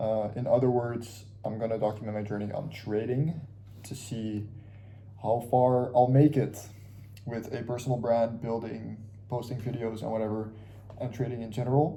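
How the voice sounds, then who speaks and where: With audible room echo, a man speaks at a moderate pace in a somewhat breathy, dark, mellow voice of medium pitch and monotone, flat intonation. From Curacao, Caribbean. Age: 20s. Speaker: vlogger, aspiring trader. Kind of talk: casual vlog monologue. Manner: casual, halting with fillers.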